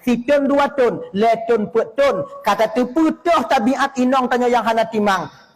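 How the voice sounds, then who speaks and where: Extremely high-pitched, a man speaks at a fairly slow pace with hardly any pauses. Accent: Acehnese. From Aceh, Indonesia. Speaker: Islamic preacher. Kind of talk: religious sermon. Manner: firm, relaxed.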